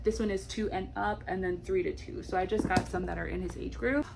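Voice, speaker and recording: A woman's voice over noticeable background noise. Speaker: homeschooling mom and early childhood educator. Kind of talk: tutorial. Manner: animated.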